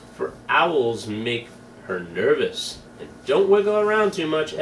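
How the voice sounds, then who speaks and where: Over clear background noise, a man puts on a character voice at a high pitch. He talks at a fairly slow pace. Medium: read story.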